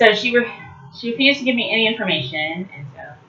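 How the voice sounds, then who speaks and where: Very wide pitch swings mark this very fast speech, heard over noticeable background noise. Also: woman. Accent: American. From Detroit area, Michigan; later California. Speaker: vlogger. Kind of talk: casual vlog monologue. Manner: halting, many fillers and restarts.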